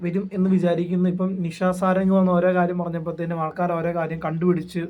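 This is a man speaking. His voice is high-pitched. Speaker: YouTube vlogger. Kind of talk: casual commentary monologue. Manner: conversational, with fillers.

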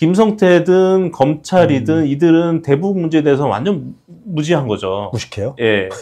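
This man's voice has a dark, mellow tone and very wide pitch swings. He speaks at a moderate pace. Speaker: defense lawyer. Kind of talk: interview. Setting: studio. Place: studio. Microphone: lapel.

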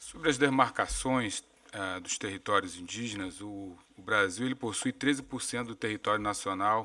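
Speaking fairly slowly against a quiet background, a man uses a bright, sharp tone at a fairly low pitch with ordinary pitch variation. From Brazil. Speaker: government official. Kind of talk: prepared statement; formal statement at a hearing. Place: meeting room. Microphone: podium.

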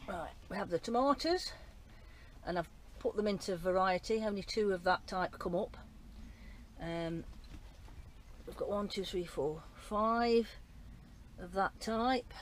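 The speech comes at a fairly slow pace with long, frequent pauses, over light background noise in a dry sound with no echo. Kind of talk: casual vlog chat. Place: garden. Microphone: phone near.

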